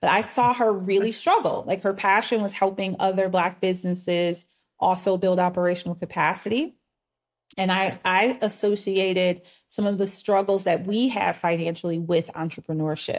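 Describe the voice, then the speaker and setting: Recorded very cleanly against a silent background, a woman uses a normal speaking voice at medium pitch, moderate in pace, with fairly even intonation and very even loudness. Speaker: business operations coach. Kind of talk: interview.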